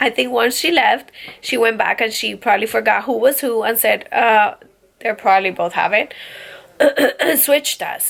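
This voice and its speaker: A raspy, put-on character voice from a woman, fairly high in pitch, at a moderate pace with long, frequent pauses. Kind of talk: casual, conversational.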